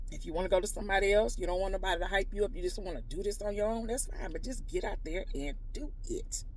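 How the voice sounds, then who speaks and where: In a room with audible echo, a woman with a Houston accent talks at a very fast pace with hardly any pauses and an animated tone. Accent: Houston, Texas dialect. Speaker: natural hair stylist. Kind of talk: motivational vlog talk to camera. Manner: casual.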